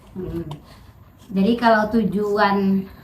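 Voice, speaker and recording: A woman speaks at a medium pitch. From Riau, Indonesia (Pekanbaru area). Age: 30s. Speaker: political candidate. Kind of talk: interview. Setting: at her home. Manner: casual, conversational.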